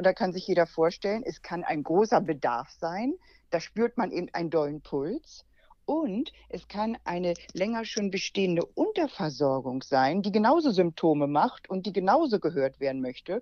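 Using very wide pitch swings, a woman of medium pitch speaks at a moderate pace. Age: 60s. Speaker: naturopath and healing-method teacher. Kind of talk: interview.

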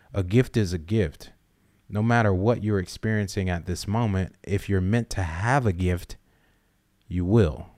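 A man with an American accent has an ordinary speaking voice, fairly low in pitch with ordinary pitch variation. The recording is very clean, with a silent background. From US South, South Carolina. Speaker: podcast co-host. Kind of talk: casual chat.

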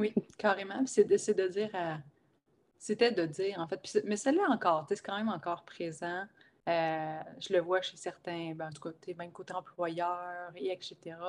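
In a very clean recording with a silent background, a speaker with a Quebec accent talks at a fairly slow pace with ordinary pitch variation. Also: woman, medium pitch for a woman, big swings in loudness. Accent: Québécois French. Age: 30s. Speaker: life coach and shaman. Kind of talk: casual interview chat. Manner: animated.

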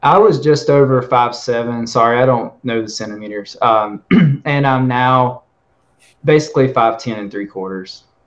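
A man with an ordinary speaking voice at a medium pitch and moderate pace, with ordinary pitch variation and big swings in loudness. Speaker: limb lengthening patient. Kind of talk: casual panel discussion. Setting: video call.

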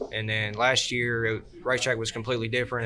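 With a Southern US accent, a man talks very fast at a medium pitch. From Georgia, US South. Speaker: kart racer and pipe welder. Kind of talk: casual chat. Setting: live show at a race event with audience.

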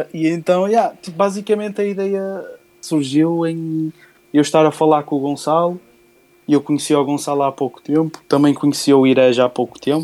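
A man with a fairly high yet dark, mellow voice speaks with long, frequent pauses. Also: ordinary pitch variation, moderate pace. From northern Portugal, Porto area. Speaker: beatmaker. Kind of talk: interview.

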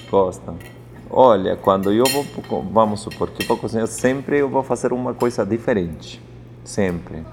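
A man's medium-pitched voice with a Spanish accent. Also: ordinary pitch variation, fairly slow pace. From Peru, Andes (Apurímac). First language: Spanish (speaking Portuguese). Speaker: chef. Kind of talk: interview. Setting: restaurant.

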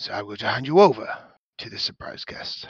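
Raspy, put-on character voice from a man, at a fairly quick pace. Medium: actual play. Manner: formal, measured.

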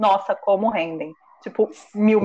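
A woman with a normal speaking voice speaks at a fairly high pitch with ordinary pitch variation. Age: 20s. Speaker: podcast host. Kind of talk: casual chat.

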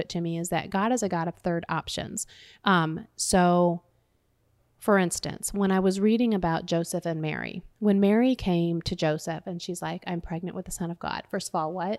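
A woman's fairly low voice with ordinary pitch variation, in a very clean recording with a silent background. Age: 40s. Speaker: prison ministry volunteer. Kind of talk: casual chat. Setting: home kitchen. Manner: fast; animated.

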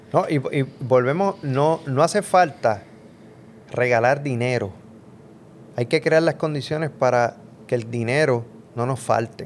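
This man talks at a medium pitch and a fairly slow pace. His pitch varies in an ordinary way, and long, frequent pauses break up his speech. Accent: Puerto Rican. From Puerto Rico, Mayagüez. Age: middle-aged. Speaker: professor and podcast co-host. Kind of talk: casual political chat. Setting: home studio.

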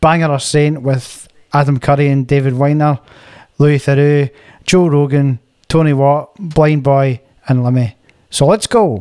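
With a Scottish accent, a man with a fairly high pitch and a dark, mellow tone speaks at a fairly slow pace with long, frequent pauses, fairly even intonation and very even loudness. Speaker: wedding band musician, podcast co-host. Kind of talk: scripted narration; casual chat.

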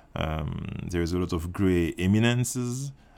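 This man speaks in a French accent with a very deep, low pitch. His intonation is lively and his pace fairly slow. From Martinique. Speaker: filmmaker. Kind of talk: interview. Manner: halting, many fillers.

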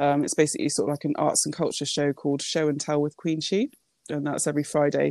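On a very clean recording with a silent background, the voice has a dark, mellow tone and fairly even intonation, moving at a very fast pace in a dry, close sound with no echo. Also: woman, very deep, low pitch for a woman. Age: 30s. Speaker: poet and radio presenter. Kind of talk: interview. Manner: hesitant, many fillers.

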